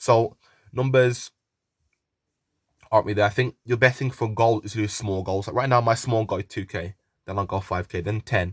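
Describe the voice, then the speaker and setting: In a West Midlands accent, a man with a fairly low pitch and a somewhat breathy voice leaves long, frequent pauses, recorded dry and close with no echo in a very clean recording with a silent background. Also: fairly even intonation. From West Midlands, England. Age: 20s. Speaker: YouTuber and young footballer. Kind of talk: casual Q&A vlog. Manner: fast.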